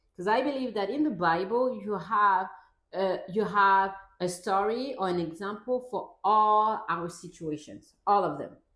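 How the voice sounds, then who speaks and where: Speaking at a fairly slow pace with a non-native accent, a woman keeps a medium pitch and ordinary pitch variation while audible room echo surrounds her. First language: not English. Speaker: parenting vlogger; mother. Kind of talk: casual talk to camera, partly reading from a script. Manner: reads from a script.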